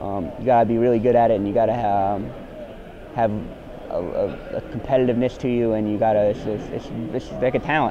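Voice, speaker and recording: Against noticeable background noise, a man with a New Jersey accent talks at a fairly quick pace and medium pitch, keeping his intonation fairly even while leaving long, frequent pauses. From US Northeast, New Jersey. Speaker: college basketball player. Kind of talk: interview. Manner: halting.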